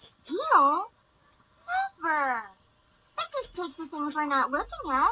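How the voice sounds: This is a cartoonish character voice with a high pitch. It moves at a fairly slow pace with long, frequent pauses.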